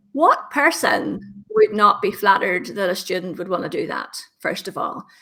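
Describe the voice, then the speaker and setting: With a Northern Irish accent, a woman speaks at a moderate pace in a fairly high voice with a bright, sharp tone. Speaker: LinkedIn trainer. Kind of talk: interview. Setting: podcast.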